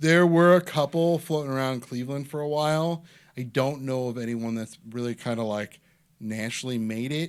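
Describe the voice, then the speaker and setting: Here a man talks at a moderate pace and medium pitch with ordinary pitch variation. The recording is very clean, the background silent. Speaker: stand-up comedian. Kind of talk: casual chat. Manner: clear enunciation, not mumbling.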